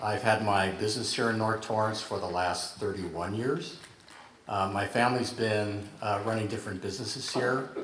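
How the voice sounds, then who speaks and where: In an American accent, a man with a fairly low voice speaks at a moderate pace with fairly even intonation, amid noticeable background noise and audible room echo. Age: 60s. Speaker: city council candidate. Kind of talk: candidate forum answer.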